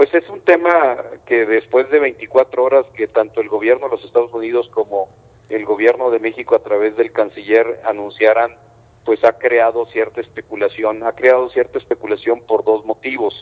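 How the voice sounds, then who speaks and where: At a moderate pace, a man speaks in an unremarkable speaking voice of medium pitch with fairly even intonation. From northern Mexico border, Coahuila. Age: 60s. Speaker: mayor. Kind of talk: news interview.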